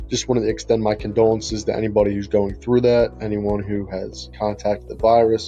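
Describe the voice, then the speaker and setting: A fairly low-pitched man talking at a fairly quick pace, with music in the background. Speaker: virtual tour business owner. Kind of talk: casual talk to camera.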